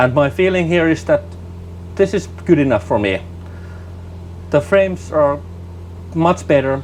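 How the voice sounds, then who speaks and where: Very wide pitch swings at a moderate pace, with long, frequent pauses and noticeable background noise. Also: man, medium pitch for a man. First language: not English. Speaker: flight sim gaming youtuber. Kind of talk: gameplay commentary. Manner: halting, repeats words.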